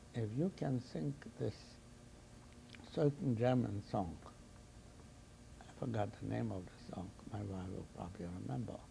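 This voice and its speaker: A man speaks softly at a moderate pace in a fairly low voice. His tone is dark and mellow, with vocal fry. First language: not English. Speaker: Holocaust survivor. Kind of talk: testimony. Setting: recorded interview. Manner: soft-spoken.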